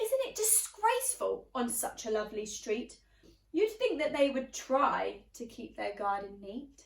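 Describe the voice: A woman uses a put-on character voice at a fairly high pitch, with big pitch swings and vocal fry. She speaks at a fairly slow pace, with audible room echo.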